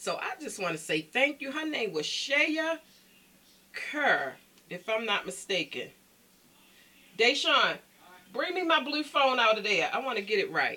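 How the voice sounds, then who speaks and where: With an American accent, a woman projects a raised, high, animated voice with very wide pitch swings, talking at a fairly slow pace with long, frequent pauses. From Baltimore, Maryland. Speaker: vlogger. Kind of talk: casual chat to camera. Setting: at home. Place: home room. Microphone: phone near.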